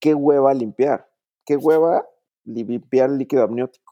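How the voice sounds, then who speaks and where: The speaker is a man with a medium pitch. His voice carries a dark, mellow tone. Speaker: doctor. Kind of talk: casual chat. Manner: posh-sounding.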